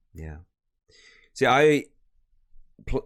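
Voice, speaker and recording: On a very clean recording with a silent background, a man speaks with a Welsh accent. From North Wales. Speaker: podcast interviewer, voice actor hobbyist. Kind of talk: interview. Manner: casual, chatty.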